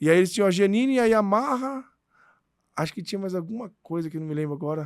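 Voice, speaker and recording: At a very fast pace, a man with a high pitch speaks with lively intonation in a very clean recording with a silent background. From Brazil, Santo André (São Paulo area). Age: 40s. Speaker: radio and TV comedy host. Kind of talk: casual interview chat.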